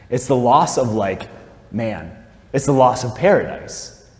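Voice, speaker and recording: The room echo is audible around this male speaker. He talks at a medium pitch. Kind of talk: talk, spiritual reflection. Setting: chapel, live-streamed talk to audience. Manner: casual, filler-heavy (like, um).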